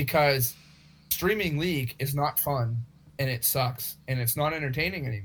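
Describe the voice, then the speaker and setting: Speaking at a moderate pace, a man uses an ordinary speaking voice pitched fairly high. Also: ordinary pitch variation. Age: 20s. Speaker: podcast co-host. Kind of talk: casual chat.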